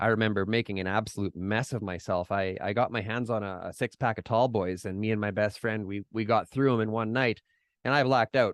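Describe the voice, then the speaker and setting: With a Canadian accent, a man speaks at a fairly quick pace in a fairly low voice, the sound dry and close with no echo against a quiet background. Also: fairly even intonation. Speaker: podcaster in recovery. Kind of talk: interview, personal recovery story. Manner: casual, hesitant with fillers.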